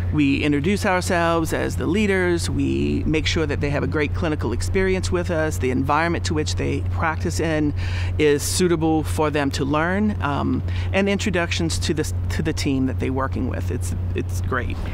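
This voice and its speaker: Over light background noise, a man with a very deep, low pitch talks at a moderate pace. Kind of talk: interview answer. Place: garden. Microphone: lapel.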